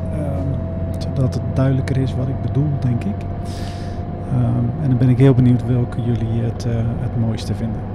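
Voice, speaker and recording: A man keeps up a moderate pace against loud background noise. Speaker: motorcycle vlogger. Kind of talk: casual vlog chat. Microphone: helmet.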